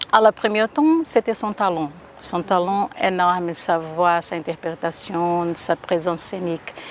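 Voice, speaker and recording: Over noticeable background noise, a woman with a Brazilian accent speaks at a fairly slow pace and a fairly low pitch, her intonation fairly even. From Brazil, Rio de Janeiro. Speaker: singer and performer. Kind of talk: interview.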